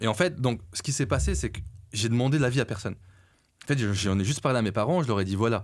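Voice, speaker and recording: A man races along at a very fast pace with lively intonation and a medium pitch. Long, frequent pauses break it up in a very clean recording with a silent background. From France. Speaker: entrepreneur. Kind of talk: podcast interview. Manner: hesitant, filler-heavy.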